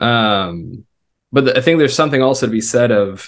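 A man with an American accent has a plain, everyday voice at medium pitch. He talks at a fairly quick pace with ordinary pitch variation. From US South and Israel. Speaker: web designer and former missionary. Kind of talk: interview.

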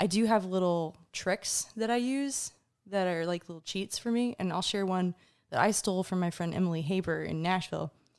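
A woman speaks in a normal speaking voice with an American accent, medium pitch, ordinary pitch variation and a fairly quick pace, on a very clean recording with a silent background. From US South, Atlanta, Georgia. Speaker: singer-songwriter. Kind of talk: casual interview chat. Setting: studio.

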